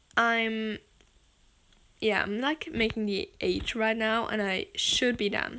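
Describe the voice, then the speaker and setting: A very slow pace with long, frequent pauses and fairly even intonation. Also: woman, fairly high pitch for a woman, very clean recording, silent background. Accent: German. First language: German. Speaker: gaming and animation video creator. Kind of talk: editing tutorial voiceover. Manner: casual, filler-heavy, uses 'like' a lot.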